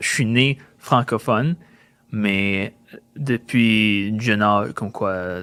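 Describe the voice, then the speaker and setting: In a very clean recording with a silent background, a man with a fairly low, bright, sharp voice speaks very slowly, leaving long, frequent pauses. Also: ordinary pitch variation. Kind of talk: casual interview.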